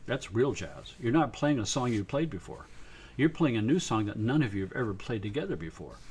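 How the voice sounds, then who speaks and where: At a fairly quick pace, a somewhat breathy man of medium pitch speaks with very wide pitch swings. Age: 70s. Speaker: sound researcher and musician. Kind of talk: live stream talk. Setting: live stream. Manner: casual, halting.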